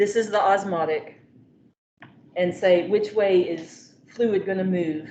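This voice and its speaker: At a very slow pace, a woman of medium pitch speaks with fairly even intonation and long, frequent pauses as room echo is heard. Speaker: biology professor. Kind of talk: lecture.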